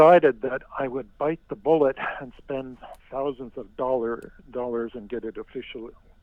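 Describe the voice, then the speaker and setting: A man's normal speaking voice at medium pitch with ordinary pitch variation. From Finland, raised in northern Ontario, Canada. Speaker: author and storyteller. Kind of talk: phone interview answer. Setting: phone line.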